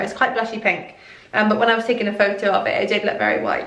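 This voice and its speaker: A woman's fairly high voice with a Welsh accent, amid noticeable background noise and audible room echo. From Wales. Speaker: fashion youtuber. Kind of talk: clothing haul review. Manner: animated.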